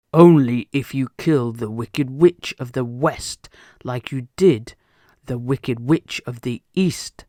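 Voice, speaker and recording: A booming put-on character voice from a man, medium in pitch, at a fairly slow pace. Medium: read story. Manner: booming, commanding.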